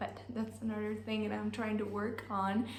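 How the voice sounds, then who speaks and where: Recorded with noticeable background noise and audible room echo, a woman speaks in an Italian accent. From Italy. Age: 20s. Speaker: online language teacher. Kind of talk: vlog monologue. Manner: casual, with many fillers.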